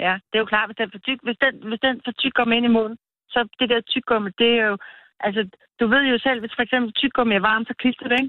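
A woman's plain, everyday voice, fairly high in pitch, at a fairly quick pace with fairly even intonation. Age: 50s. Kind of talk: casual phone interview.

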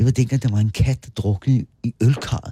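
In a dry, close recording with no echo, a man speaks in a somewhat breathy voice with a dark, mellow tone. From Bornholm. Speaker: local historian. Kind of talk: interview. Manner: animated.

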